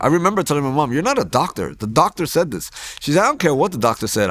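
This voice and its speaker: Talking at a very fast pace, a man uses a fairly high pitch with very wide pitch swings and vocal fry. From US Northeast, Hoboken, New Jersey. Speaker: pastor. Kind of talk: testimony. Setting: church.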